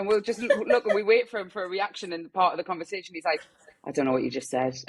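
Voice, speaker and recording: In a strong Geordie accent, a woman with a medium-pitched voice speaks very fast with lively intonation. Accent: thick Geordie. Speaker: newborn photographer. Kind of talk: podcast interview. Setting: video call.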